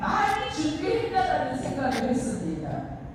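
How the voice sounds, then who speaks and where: Over noticeable background noise and audible room echo, a woman talks with lively intonation. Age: 60s. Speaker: free speech speaker at a civic group press event. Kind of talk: public speech.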